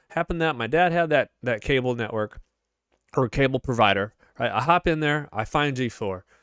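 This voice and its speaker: A man with a Chicago accent talks at a very fast pace with lively intonation, in a dry, close sound with no echo on a very clean recording with a silent background. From US Midwest, Chicago suburbs. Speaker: gaming YouTuber. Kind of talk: casual commentary. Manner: animated.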